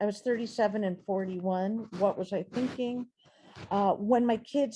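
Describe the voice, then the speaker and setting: A woman speaks at a fairly slow pace in a fairly high voice with a dark, mellow tone. She sounds somewhat breathy, and her pitch varies in an ordinary way. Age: 60s. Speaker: poet and writer, featured reader. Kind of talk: reading aloud own journal writing. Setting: video call.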